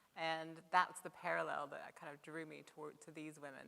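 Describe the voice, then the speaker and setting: A bright, sharp tone with vocal fry at a fairly quick pace. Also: woman. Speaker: professional photographer. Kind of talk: panel discussion answer. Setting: live stage with microphone.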